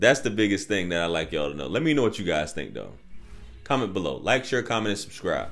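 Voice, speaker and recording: A man with a fairly low pitch at a very fast pace, faint music in the background. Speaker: dating advice youtuber. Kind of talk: casual commentary monologue. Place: home room. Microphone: studio mic.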